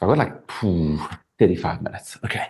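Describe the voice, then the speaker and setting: A man is talking. There's some breathiness in his voice. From South Africa. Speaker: actor and gymnast. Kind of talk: casual interview anecdote.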